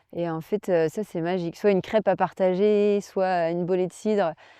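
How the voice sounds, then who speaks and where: Fairly slow speech with fairly even intonation and a dark, mellow tone comes through a dry, close sound with no echo and a quiet background. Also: woman. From Brittany, France. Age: 30s. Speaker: olympic kayaker and adventurer. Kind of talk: interview. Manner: hesitant, many fillers.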